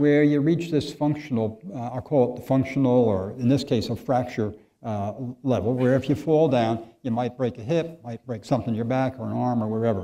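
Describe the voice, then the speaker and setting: Medium in pitch with ordinary variation, a man's dark, mellow tone moves at a moderate pace. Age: 70s. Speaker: physician. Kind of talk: lecture. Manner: halting.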